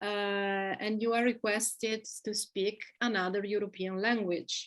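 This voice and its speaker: The woman speaks at a very slow pace with fairly even intonation. Her pitch is medium. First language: Italian. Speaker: expat living in Belgium. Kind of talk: casual interview.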